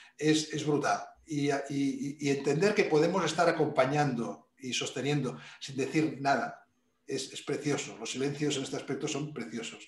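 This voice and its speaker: The loudness swings widely, and audible room echo surrounds the voice. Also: man, fairly high pitch for a man, ordinary pitch variation, moderate pace. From Spain, Barcelona. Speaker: executive coach. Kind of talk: interview.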